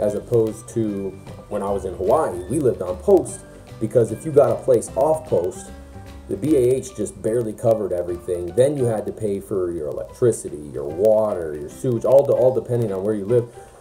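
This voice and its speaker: Faint music plays in the background. A man with a fairly low pitch speaks at a fairly quick pace. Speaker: soldier vlogger. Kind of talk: casual vlog chat. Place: home room. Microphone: phone near.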